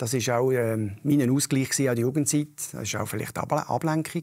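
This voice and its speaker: The recording is very clean with a silent background. The speaker moves at a fairly quick pace with ordinary pitch variation. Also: man. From Canton of Lucerne, Switzerland. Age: 50s. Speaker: local politician. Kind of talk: interview. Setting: stage with audience. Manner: direct.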